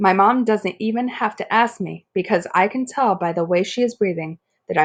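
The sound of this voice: Against a quiet background, the voice is an unforced reading voice.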